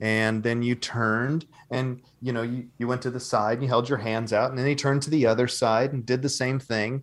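An ordinary speaking voice from a man, medium in pitch, with fairly even intonation, a moderate pace and a very clean recording against a silent background. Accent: American. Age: 40s. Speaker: actor. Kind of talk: interview.

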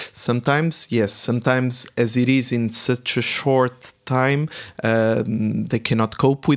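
A man speaks at a medium pitch. His pace is very slow. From Portugal. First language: Portuguese. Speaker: startup mentor and entrepreneur. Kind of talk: interview.

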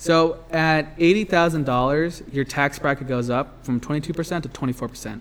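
This man has an ordinary speaking voice, talking at a fairly quick pace with ordinary pitch variation. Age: 20s. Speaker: podcast co-host. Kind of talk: casual chat; scripted outro. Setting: cold shed recording space.

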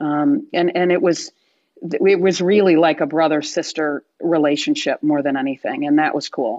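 A woman with an American accent speaks at a moderate pace and fairly low pitch, using ordinary pitch variation in an ordinary speaking voice. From Michigan, US Midwest. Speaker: former sports agent and speaker. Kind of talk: interview conversation.

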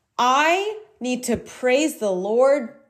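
The woman's intonation is lively, though her delivery is very slow. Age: 20s. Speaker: podcast host. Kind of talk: solo casual monologue.

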